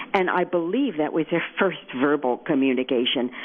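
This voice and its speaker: With lively intonation, a woman speaks in a very deep, low pitch. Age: 60s. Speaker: author. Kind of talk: radio interview.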